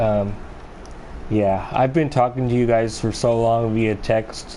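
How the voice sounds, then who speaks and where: Soft-spoken and fairly slow, a man of medium pitch talks amid noticeable background noise and audible room echo. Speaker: video game streamer. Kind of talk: live gameplay commentary. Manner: halting.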